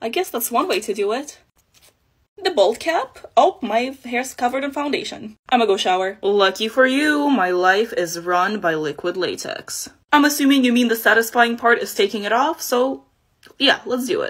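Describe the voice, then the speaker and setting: At a moderate pace against a quiet background, a woman speaks in a high voice with very wide pitch swings. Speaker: special effects makeup artist; makeup creator. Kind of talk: casual vlog. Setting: at home at night. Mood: playful, joking. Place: home room. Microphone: phone near.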